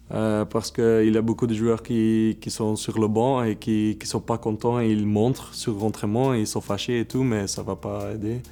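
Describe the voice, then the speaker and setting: Medium-pitched male speech with a dark, mellow tone, monotone, flat intonation, a moderate pace and hardly any pauses. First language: Dutch (speaking French). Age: 20s. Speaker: professional footballer. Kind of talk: interview. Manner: halting, many hesitations.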